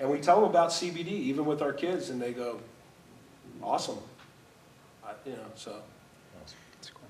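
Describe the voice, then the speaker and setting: Amid noticeable background noise, a man with an American accent and a fairly high pitch speaks at a moderate pace, with big swings in loudness and long, frequent pauses. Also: lively intonation. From Southern California. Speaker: former pro football player. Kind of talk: panel discussion. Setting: stage with audience.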